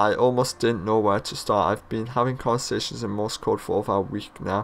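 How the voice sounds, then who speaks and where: In a British accent, a man speaks at a moderate pace with a medium-pitched voice. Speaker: gaming YouTuber. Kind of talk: gameplay commentary. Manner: casual, rambling.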